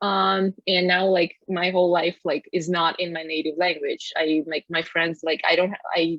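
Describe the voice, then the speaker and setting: A woman with a Russian accent talks at a moderate pace with hardly any pauses, her fairly low pitch following a fairly even intonation. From Russia, Moscow. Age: 20s. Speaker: podcast co-host. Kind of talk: casual chat. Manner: hesitant, many fillers.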